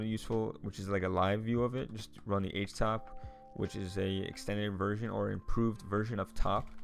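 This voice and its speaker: With music in the background, a man of fairly low pitch talks at a fairly quick pace with fairly even intonation. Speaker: tech YouTuber reviewing a book. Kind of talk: screen-share tutorial. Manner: fast; casual, many fillers.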